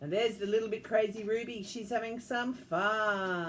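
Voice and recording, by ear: Intonation stays fairly even as a natural voice reads aloud.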